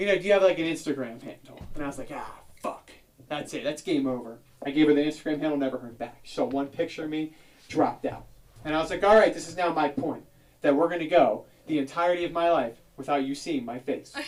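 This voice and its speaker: A man with an American accent talks at a very fast pace in a fairly high voice. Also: ordinary pitch variation. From South Jersey, near Philadelphia. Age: 30s. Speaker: comedian. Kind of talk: stand-up. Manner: animated.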